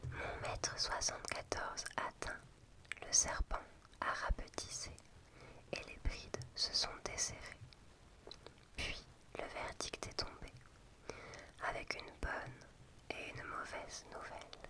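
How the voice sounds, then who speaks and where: Whispering very slowly over noticeable background noise, a woman leaves long, frequent pauses as her loudness swings widely. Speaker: ASMR creator. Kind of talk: whispered book reading for sleep. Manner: whispered.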